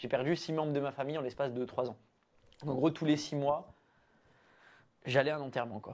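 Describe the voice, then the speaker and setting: A man talks at a fairly quick pace with a fairly high pitch and fairly even intonation, yet leaves long, frequent pauses. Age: 20s. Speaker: breathwork practitioner and entrepreneur. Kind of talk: casual interview conversation. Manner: hesitant, many fillers.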